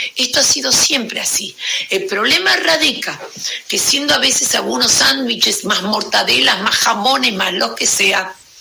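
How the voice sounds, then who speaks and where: Amid noticeable background noise and audible room echo, a woman speaks fairly slowly with very even loudness. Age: 70s. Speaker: educator. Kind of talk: interview.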